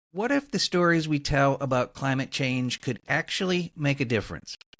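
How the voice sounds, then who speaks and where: An ordinary speaking voice with lively intonation moves at a moderate pace, dry and close with no echo, in a very clean recording with a silent background. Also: man. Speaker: podcast host. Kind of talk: podcast intro narration.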